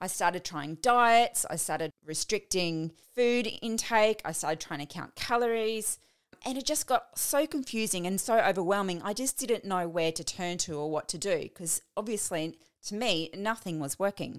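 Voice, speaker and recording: In a very clean recording with a silent background, an unremarkable speaking voice moves at a moderate pace. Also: woman, medium pitch for a woman, lively intonation. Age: 40s. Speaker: podcast host and fitness coach. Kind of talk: solo podcast monologue.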